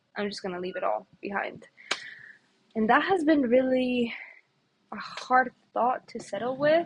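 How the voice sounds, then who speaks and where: With a Spanish accent, a woman speaks fairly slowly in a high voice with lively intonation, big swings in loudness and long, frequent pauses. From Ecuador, then Canada from age 16. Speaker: vlogger, policy intern. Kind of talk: personal vlog reflection.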